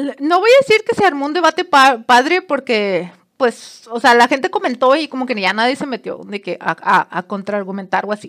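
A woman's high-pitched, animated voice at a moderate pace, with very wide pitch swings, hardly any pauses, and a dry, close sound free of echo. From Mexico, Monterrey. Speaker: podcaster. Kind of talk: casual storytelling monologue.

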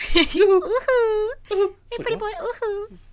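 This put-on character voice is extremely high and squeaky, delivered at a fairly slow pace. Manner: teasing, attention-getting.

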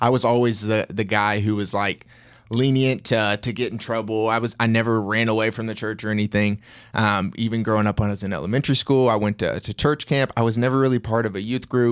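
A man with a medium-pitched voice at a very fast pace, in a very clean recording with a silent background. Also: fairly even intonation. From Tennessee. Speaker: fitness coach. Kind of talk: casual chat; sales pitch. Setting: studio.

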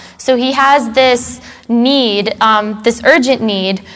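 The voice keeps fairly even intonation while music plays in the background. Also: woman. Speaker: Bible study leader. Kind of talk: Bible study lesson with prayer.

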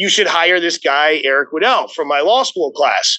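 Here a man talks at a moderate pace. He has an American accent. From Arizona. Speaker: debt finance lawyer. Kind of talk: interview.

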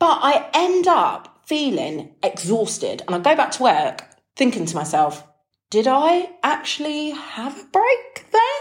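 Speaking in a British accent, a woman uses a high pitch with very wide pitch swings. Her delivery comes at a fairly slow pace. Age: 30s. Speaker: health and habits podcaster. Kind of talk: casual solo monologue. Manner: animated.

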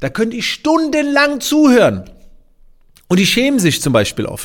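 Vocal fry marks the voice of the man talking. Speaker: podcaster and business coach. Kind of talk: casual podcast monologue.

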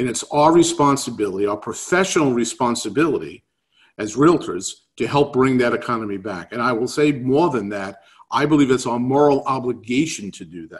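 Over a quiet background, a man with a New York accent talks fairly quickly at a medium pitch, his intonation lively and his loudness swinging widely. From New York City. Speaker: real estate economics speaker. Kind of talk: webinar presentation. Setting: video call.

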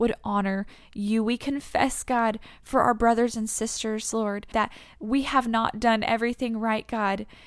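On a very clean recording with a silent background, a woman with an American accent speaks in a warm tone at a fairly slow pace, her fairly high pitch held in monotone, flat intonation. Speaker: podcast host. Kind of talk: guided prayer, fervent spoken prayer. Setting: solo podcast recording. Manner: earnest, fervent, impassioned; warm, conversational.

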